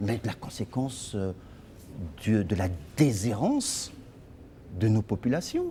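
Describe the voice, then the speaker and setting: Very slowly, a man speaks in a dark, mellow tone that is somewhat breathy. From Congo-Brazzaville, Brazzaville (Poto-Poto). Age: 50s. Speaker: lawyer and party leader. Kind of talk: interview.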